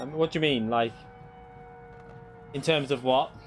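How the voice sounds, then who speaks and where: A man is speaking. Music plays in the background. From northern England, Runcorn near Liverpool (moved from Kent at seven). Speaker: sim racing streamer. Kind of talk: live gaming stream chat. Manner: casual, halting with self-corrections.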